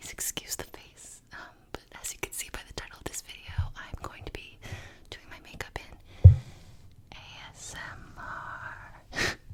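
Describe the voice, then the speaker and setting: A woman with an American accent whispers at a fairly slow pace over noticeable background noise. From New York. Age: 20s. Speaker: YouTuber, digital producer.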